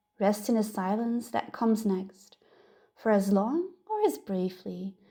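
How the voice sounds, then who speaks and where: A woman talks fairly slowly at a medium pitch. Her tone is dark and mellow, and somewhat breathy. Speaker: meditation guide. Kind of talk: guided meditation. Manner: soft, slow.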